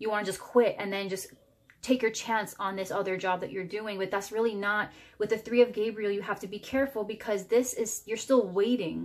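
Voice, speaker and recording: Fairly quick in pace, a woman speaks at a medium pitch. Her intonation stays fairly even. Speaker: tarot reader. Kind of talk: tarot reading. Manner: fast; halting, jumbled words.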